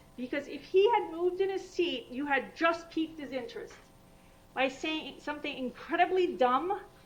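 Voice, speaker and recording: A woman speaks in an animated tone with lively intonation, and audible room echo surrounds her voice. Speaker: vascular surgeon. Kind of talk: lecture. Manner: fast.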